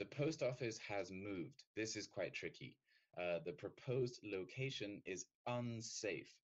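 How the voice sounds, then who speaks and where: A man speaks with a British accent and lively intonation. His pace is fairly slow. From Britain. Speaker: English teacher. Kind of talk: lecture.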